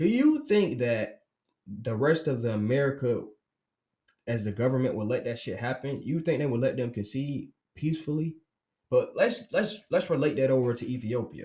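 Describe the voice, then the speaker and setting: At a moderate pace and medium pitch, a man speaks in a dark, mellow, somewhat breathy tone with ordinary pitch variation. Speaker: podcast host. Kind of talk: casual commentary monologue. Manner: halting, stuttering.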